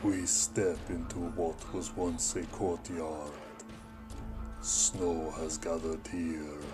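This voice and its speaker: Over loud background noise, a man uses a put-on character voice with a very deep, low pitch, speaking at a very slow pace. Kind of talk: solemn audio drama narration. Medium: audio drama. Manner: grave, measured.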